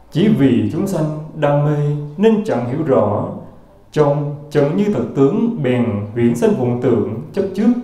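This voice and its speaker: A man's fairly high voice with very wide pitch swings, fairly slow pace and audible room echo. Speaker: Buddhist monk reading teachings. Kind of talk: reading aloud. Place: hall.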